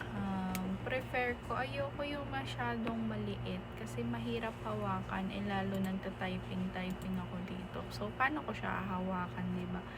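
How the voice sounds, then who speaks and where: Soft-spoken woman at a fairly slow pace with hardly any pauses, amid noticeable background noise and audible room echo. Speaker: vlogger. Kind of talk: casual vlog talk.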